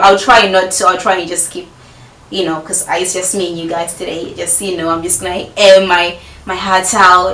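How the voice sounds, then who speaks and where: Amid noticeable background noise and audible room echo, a woman speaks at a fairly quick pace in a medium pitch, her loudness swinging a lot. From Zimbabwe, Harare. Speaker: YouTuber. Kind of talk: casual Q&A vlog. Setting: filming at home with friend present. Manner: chatty, many fillers.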